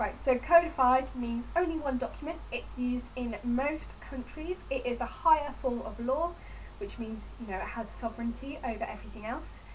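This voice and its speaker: A woman speaks with an English accent. The room has audible echo and noticeable background noise. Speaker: student. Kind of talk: revision tutorial. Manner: fast. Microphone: poor audio.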